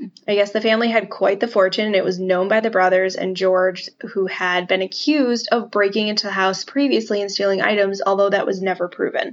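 In an ordinary speaking voice, a woman talks at a fairly quick pace and medium pitch, with fairly even intonation and hardly any pauses. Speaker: podcast host. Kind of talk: casual history podcast chat, storytelling.

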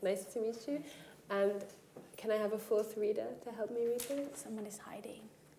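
Over noticeable background noise, a woman talks in a fairly high pitch. Her pace is moderate and her intonation fairly even. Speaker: writer, artist and facilitator. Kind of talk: workshop talk and poetry reading.

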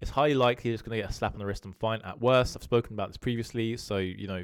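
A man with a British accent talks at a very fast pace with ordinary pitch variation. The recording is very clean, with a silent background. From UK. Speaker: crypto analyst YouTuber. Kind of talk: solo video monologue on market analysis. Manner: casual, conversational with filler words.

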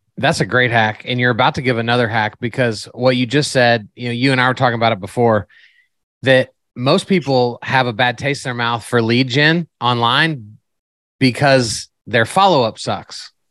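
The speaker is a man. He talks at a moderate pace with ordinary pitch variation. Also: medium pitch for a man, quiet background. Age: 40s. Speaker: podcast host. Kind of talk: casual interview. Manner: animated.

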